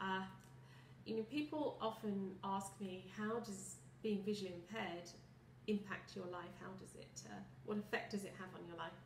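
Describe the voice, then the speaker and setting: Delivered at a moderate pace in a British accent, the speech has big swings in loudness, audible room echo and noticeable background noise. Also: woman. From southern England, Kent. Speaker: visually impaired product specialist. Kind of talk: personal testimony. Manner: articulate, some hesitations.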